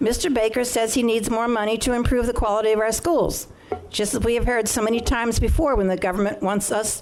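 Fairly quick, fairly high-pitched female speech with an American accent, amid noticeable background noise and audible room echo. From Maryland, Prince George's County (Beltsville). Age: 70s. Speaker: public hearing speaker, local resident. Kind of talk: public testimony at council hearing. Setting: council chamber public hearing. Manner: formal, prepared statement.

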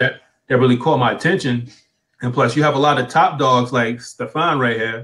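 In a quiet background, a man speaks at a moderate pace with a medium pitch. His tone is bright and sharp, and his intonation fairly even. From United States. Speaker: online business coach and blogger; online business coach, blogger. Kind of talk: live interview. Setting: live video stream on Facebook. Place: home room. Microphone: video call.

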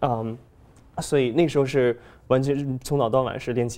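A man talks at a fairly quick pace in a medium pitch. His tone is dark and mellow, and his intonation is monotone and flat. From China. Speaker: pianist and composer; guest. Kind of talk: interview. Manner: halting. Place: studio. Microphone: lapel.

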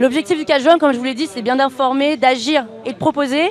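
A woman talks at a very fast pace and a high pitch, with ordinary pitch variation. The sound is dry with no echo, with light background noise. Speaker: activist representative. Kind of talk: interview. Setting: outdoor street studio. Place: street. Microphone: handheld.

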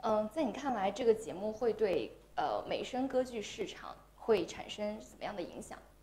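A woman at a fairly high pitch and moderate pace, lively intonation, big swings in loudness, and noticeable background noise. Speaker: livestream interviewer. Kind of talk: interview.

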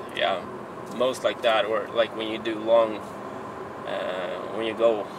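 Recorded with a dry sound and no echo, a man speaks over noticeable background noise. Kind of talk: casual vlog chat. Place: car. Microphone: camera far.

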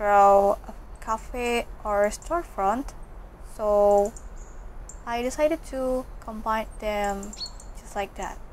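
A woman's fairly high voice at a very slow pace, with long, frequent pauses and ordinary pitch variation. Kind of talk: casual voice-over narration.

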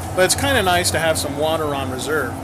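A man talks at a very fast pace. Noticeable background noise runs behind him. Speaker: vlogger. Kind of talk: casual vlog chat. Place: shop. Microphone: phone near.

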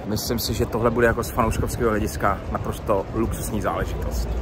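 A man talks in a fairly low pitch, the sound dry with no echo, with noticeable background noise behind him. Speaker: football fan vlogger. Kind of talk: casual vlog chat. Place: street. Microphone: phone near.

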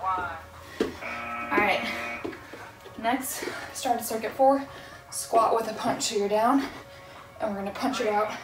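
A woman talks at a very slow pace with ordinary pitch variation, leaving long, frequent pauses. Clear music plays in the background. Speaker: fitness instructor. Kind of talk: workout instruction. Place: empty room.

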